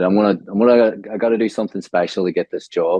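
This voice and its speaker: A man speaks with a Northern Irish accent. His pace is very fast. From Northern Ireland, Omagh. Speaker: graphic designer, branding. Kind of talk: podcast interview.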